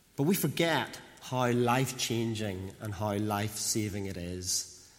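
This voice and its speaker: Medium-pitched male voice with audible room echo. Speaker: preacher. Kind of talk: sermon.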